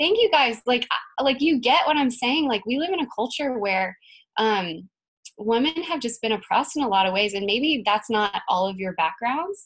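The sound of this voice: At a moderate pace, a woman talks with lively intonation in a fairly high pitch and a fairly bright tone.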